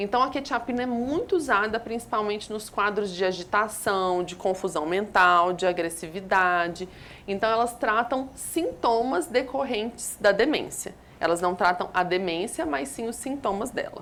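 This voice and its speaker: Her ordinary speaking voice sits at a medium pitch as the woman talks at a moderate pace with lively intonation. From Minas Gerais, Brazil (Belo Horizonte). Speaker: geriatrician and palliative care doctor. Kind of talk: TV health interview answering viewer questions. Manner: explanatory, clinical.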